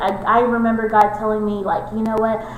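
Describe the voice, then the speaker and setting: A woman with an American accent speaks at a fairly high pitch. Noticeable background noise and audible room echo run through the recording. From Texas. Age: 20s. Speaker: college student. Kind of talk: casual interview.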